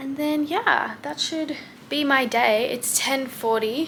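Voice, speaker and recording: In a room with audible echo, a woman with an Australian accent speaks at a fairly slow pace with ordinary pitch variation. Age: 20s. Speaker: vlogger. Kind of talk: travel vlog. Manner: casual.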